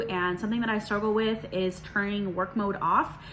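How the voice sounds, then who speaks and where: A woman at fairly high pitch, an unremarkable speaking voice, moderate pace. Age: 30s. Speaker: hairstylist and video creator. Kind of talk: casual Q&A vlog. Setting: at home in dining room. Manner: relaxed, many filler words.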